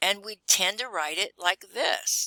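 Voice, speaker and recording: A woman speaks at a fairly slow pace in a calm tone that is bright and sharp, with a dry, close sound and no echo. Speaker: chemistry teacher. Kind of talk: recorded lesson.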